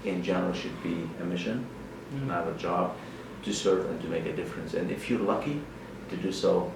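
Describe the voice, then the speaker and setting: A very deep, low-pitched man's voice in a Lebanese accent, with lively intonation, a moderate pace, and noticeable background noise. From Lebanon. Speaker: politician, member of parliament. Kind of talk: interview answer.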